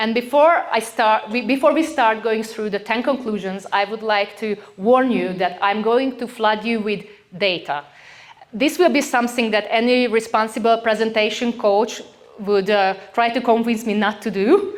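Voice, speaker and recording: Over noticeable background noise, a woman with a fairly high pitch speaks at a moderate pace with ordinary pitch variation. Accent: Hungarian. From rural Hungary. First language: Hungarian. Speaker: company CEO, conference speaker. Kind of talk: conference talk. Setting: stage with audience. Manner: halting with fillers and restarts.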